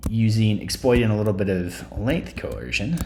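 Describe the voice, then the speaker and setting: A man at a fairly low pitch with vocal fry and very wide pitch swings, at a fairly slow pace, in audible room echo. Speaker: statistics instructor. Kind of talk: screencast tutorial. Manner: hesitant, many fillers.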